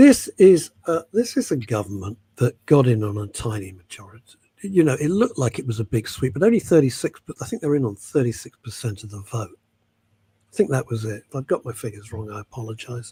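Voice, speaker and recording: With a British accent, a man speaks fairly quickly at a medium pitch, his dark, mellow tone somewhat breathy, his intonation lively, his loudness swinging widely, in a dry, close sound with no echo. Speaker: talk show co-host. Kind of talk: casual chat.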